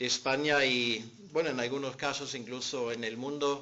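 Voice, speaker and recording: In a German accent, a man with a fairly high pitch talks at a fairly slow pace, his intonation fairly even and the room echo audible. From Germany. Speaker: pastor and seminary teacher. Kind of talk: conference talk.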